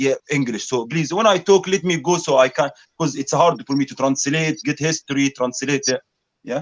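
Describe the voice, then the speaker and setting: A man with an Arabic accent talks at a moderate pace in a fairly high voice with ordinary pitch variation. The sound is dry and close, with no echo. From Egypt. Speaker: speaker's corner debater. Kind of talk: heated debate. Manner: animated.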